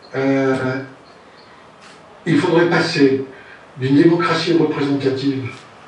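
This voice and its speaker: A man talks at a fairly high pitch. Noticeable background noise and audible room echo fill the recording. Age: 70s. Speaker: citizen candidate. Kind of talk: speech. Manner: halting.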